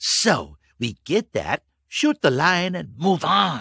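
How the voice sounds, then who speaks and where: In a put-on character voice pitched high, a man speaks at a very slow pace, the sound dry and close with no echo. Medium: read story. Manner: sarcastic, blunt.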